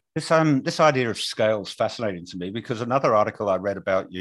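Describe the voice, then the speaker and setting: In a British accent, a man with a fairly low pitch speaks with very wide pitch swings against a quiet background. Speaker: podcast co-host. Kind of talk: casual chat; interview. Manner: halting.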